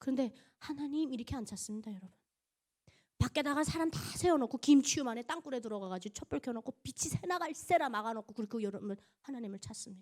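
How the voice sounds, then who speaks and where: A woman talks at a very fast pace in a high pitch, animated, with lively intonation and big swings in loudness. The sound is dry and close, with no echo. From North Korea, Pyongan province. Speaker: North Korean defector giving testimony, broadcaster. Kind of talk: church testimony. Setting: church service with congregation.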